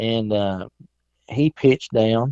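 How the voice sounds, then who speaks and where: Speaking with a Southern US accent, a man talks at a fairly slow pace and medium pitch with ordinary pitch variation. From South Carolina. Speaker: turkey hunter. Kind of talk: casual chat. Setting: phone call.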